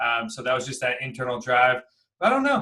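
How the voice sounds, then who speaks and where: Someone with an American accent talks at a very fast pace. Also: man. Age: 30s. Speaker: real estate investor and coach. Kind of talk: interview.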